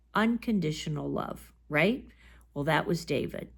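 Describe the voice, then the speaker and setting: A woman with a fairly low voice and vocal fry speaks at a moderate pace with lively intonation in a very clean recording with a silent background. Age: 60s. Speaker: bible teacher. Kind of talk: bible study talk. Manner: conversational.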